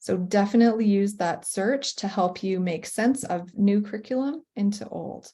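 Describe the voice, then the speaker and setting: A woman with a Canadian accent, somewhat breathy and dark, mellow in tone, medium in pitch with ordinary variation, at a moderate pace with hardly any pauses. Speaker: professional learning designer for teachers. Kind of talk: webinar presentation.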